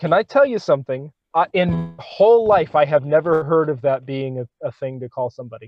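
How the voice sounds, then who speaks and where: With music in the background, a man with an American accent speaks at a fairly quick pace with lively intonation. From United States. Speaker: podcast co-host. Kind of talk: casual comedic debate.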